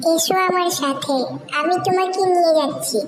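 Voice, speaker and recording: A cartoonish character voice, squeaky and extremely high in pitch, comes through over clear background noise. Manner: warm, chatty.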